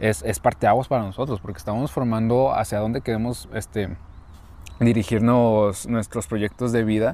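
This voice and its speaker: This man speaks with a Mexican accent and ordinary pitch variation. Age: 20s. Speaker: podcast co-host, university student. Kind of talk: casual chat.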